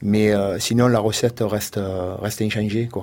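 A man's fairly low voice at a fairly slow pace with fairly even intonation. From Provence, Le Rove near Marseille. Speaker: goat farmer. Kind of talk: radio interview. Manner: halting.

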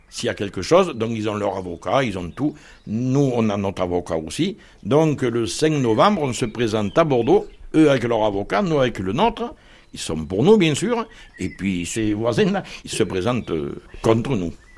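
Very wide pitch swings mark a man's medium-pitched voice at a moderate pace. The recording is very clean with a silent background. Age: 60s. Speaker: homeowner in legal dispute. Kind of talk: interview testimony.

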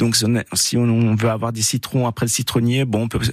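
A man speaks at a fairly quick pace. He has an Alsatian accent. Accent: Alsatian accent, praised. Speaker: gardening expert. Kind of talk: radio call-in advice.

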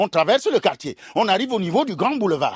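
The man's tone is animated, his pitch swinging very widely. The sound is dry and close, with no echo. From Cameroon, Douala. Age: old. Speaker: storyteller. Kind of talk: storytelling performance.

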